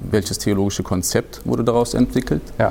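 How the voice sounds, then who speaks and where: This is a man talking at a fairly quick pace. Noticeable background noise can be heard. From Hesse, Germany. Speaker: Islamic studies researcher. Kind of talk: expert interview. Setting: studio recording in a church. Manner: hesitant, many fillers.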